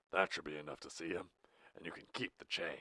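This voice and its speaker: A man does a raspy, very deep put-on character voice, with a dry, close sound and no echo. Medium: read story. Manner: stern, austere, menacing.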